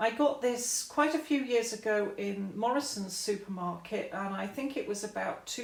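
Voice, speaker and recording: A woman with an English accent, fairly high in pitch, fairly slow, and lively in intonation, amid audible room echo and noticeable background noise. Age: 60s. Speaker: YouTuber. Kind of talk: casual vlog. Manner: loud.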